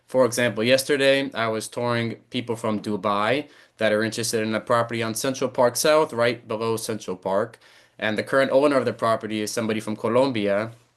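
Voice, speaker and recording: Against a quiet background, a man with an American accent speaks at a very fast pace. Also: medium pitch for a man, fairly even intonation. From New York City, Brooklyn. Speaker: real estate broker. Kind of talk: interview.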